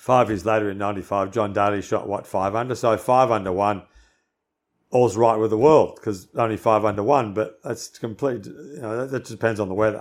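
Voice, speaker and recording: A man with an Australian accent speaks at a fairly low pitch with fairly even intonation, on a very clean recording with a silent background. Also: moderate pace. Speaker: former pro golfer and golf commentator. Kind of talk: casual chat.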